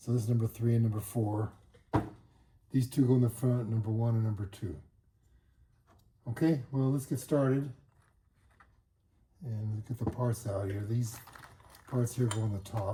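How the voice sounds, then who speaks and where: With a dark, mellow tone and a somewhat breathy quality, a man speaks with fairly even intonation and long, frequent pauses. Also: medium pitch for a man. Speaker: motorcycle hobbyist. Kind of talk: tutorial. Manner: fast; halting.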